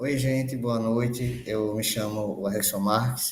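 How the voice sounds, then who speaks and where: His intonation is monotone and flat, at medium pitch for a man. He talks at a fairly slow pace. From Rio Grande do Norte interior, Brazil. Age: 20s. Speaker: university student. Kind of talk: personal testimony in online meeting. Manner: halting, with fillers.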